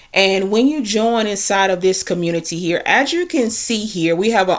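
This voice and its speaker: An ordinary speaking voice moves at a middling speed, its pitch varying in an ordinary way. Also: woman. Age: 30s. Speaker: online marketer and content creator. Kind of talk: screen-share tutorial walkthrough. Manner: casual, conversational.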